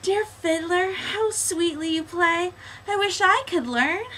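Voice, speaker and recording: A woman does a put-on character voice at an extremely high pitch, talking at a fairly slow pace over clear background noise. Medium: read story. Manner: sweet, eager.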